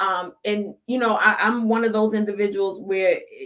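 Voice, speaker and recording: Pitched fairly high, a woman speaks at a moderate pace with fairly even intonation. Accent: Brooklyn. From Brooklyn, New York. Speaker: life coach. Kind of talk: podcast interview.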